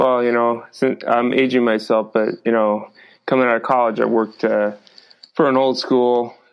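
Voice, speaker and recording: Delivered at a moderate pace, the speech has very even loudness and a monotone, flat intonation. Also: man, medium pitch for a man. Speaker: podcast host and wellness company founder. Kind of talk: podcast interview.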